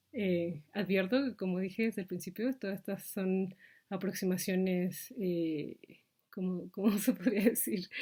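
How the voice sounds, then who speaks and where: At a fairly slow pace, a woman of medium pitch speaks with ordinary pitch variation in a somewhat breathy voice with a dark, mellow tone. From Mexico. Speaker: vlogger. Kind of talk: reflective monologue. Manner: halting, many fillers.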